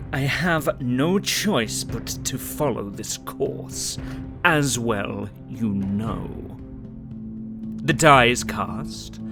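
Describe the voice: Over loud music in the background, a man does a put-on character voice at a fairly low pitch and a very slow pace.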